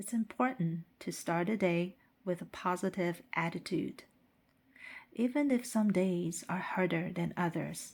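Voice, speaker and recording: A woman with a Chinese accent and medium pitch speaks at a fairly slow pace on a very clean recording with a silent background. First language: Mandarin Chinese. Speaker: English teacher. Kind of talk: scripted narration for language practice. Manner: slow, clear.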